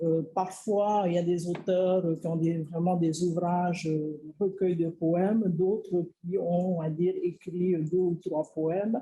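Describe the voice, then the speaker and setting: Slow and dark, a woman with a Tahitian accent speaks at a very slow pace in a somewhat breathy, mellow voice of fairly low pitch, her intonation monotone and flat and her loudness very even. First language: Tahitian (speaking French). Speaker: researcher. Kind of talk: lecture. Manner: halting, many filler words.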